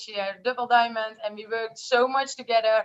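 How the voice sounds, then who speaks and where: A woman's high, flat monotone in a Dutch accent. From Netherlands. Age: 20s. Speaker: network marketer. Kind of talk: testimony. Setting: video call.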